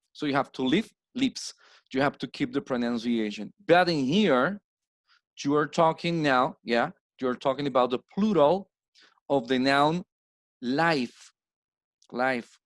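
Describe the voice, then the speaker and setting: A man with a Spanish accent speaks at a fairly slow pace in a fairly high pitch, with ordinary pitch variation and long, frequent pauses. The sound is dry and close with no echo, and the recording is very clean with a silent background. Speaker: English teacher. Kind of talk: lecture. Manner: slow, explanatory.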